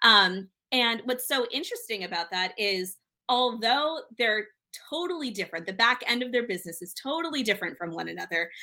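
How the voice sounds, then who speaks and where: A woman's fairly high voice, a normal speaking voice, at a fairly quick pace with lively intonation. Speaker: ClickUp consultant. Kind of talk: casual interview. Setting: at home, child in background.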